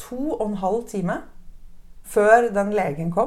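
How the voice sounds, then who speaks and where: Audible room echo surrounds a woman's fairly high voice and its lively intonation. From Norway. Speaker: new mother sharing birth story. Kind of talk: interview testimony.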